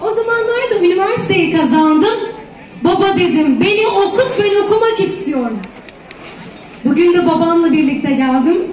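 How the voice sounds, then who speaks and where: Extremely high-pitched woman's voice with lively intonation and very even loudness, at a moderate pace, with audible room echo and noticeable background noise. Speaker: dietitian. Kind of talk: public speech. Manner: talkative.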